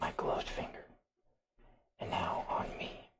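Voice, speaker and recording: A man's raspy, put-on character voice with a soothing tone at a fairly slow pace. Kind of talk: ASMR medical role-play. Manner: soft-spoken, slow, soothing, whispered.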